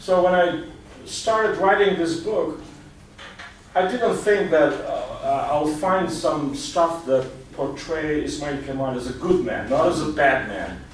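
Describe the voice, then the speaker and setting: Here a man speaks with an Albanian accent, fairly slowly and at a high pitch. Noticeable background noise and audible room echo fill the recording. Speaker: journalist and author. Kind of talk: talk with Q&A. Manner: halting.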